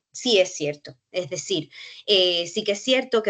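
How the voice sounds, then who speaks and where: The intonation is lively. The pace is moderate. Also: woman. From Cuba. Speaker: university researcher. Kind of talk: panel discussion. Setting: online workshop. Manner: halting, with frequent fillers.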